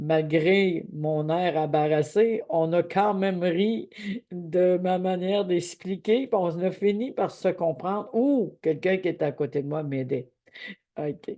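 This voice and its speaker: A woman with a Quebec accent speaks at a very slow pace. Her fairly low pitch has ordinary variation and a dark, mellow tone. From Quebec, Abitibi. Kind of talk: devotional teaching. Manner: halting.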